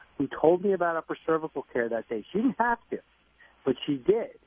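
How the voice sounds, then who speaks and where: A man talks with a New Jersey accent. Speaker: chiropractor. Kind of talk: radio interview.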